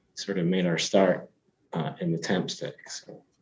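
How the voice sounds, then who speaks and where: With a slight Scottish accent, a man talks at a moderate pace in a dark, mellow tone. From Scotland. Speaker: tech company CEO. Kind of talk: interview. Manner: hesitant, many fillers and restarts.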